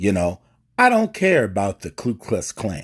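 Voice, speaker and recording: This man's voice is fairly low in pitch and moves at a fairly slow pace. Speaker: bishop. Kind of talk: political monologue. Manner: impassioned, preacher-like.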